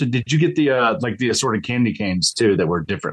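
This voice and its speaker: With vocal fry, a man speaks at a very fast pace. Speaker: podcast co-host. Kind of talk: casual chat.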